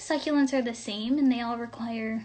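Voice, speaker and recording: Ordinary pitch variation in a woman's voice of fairly high pitch. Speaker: student club member. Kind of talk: live-stream tutorial. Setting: Instagram live stream. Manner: casual, chatty.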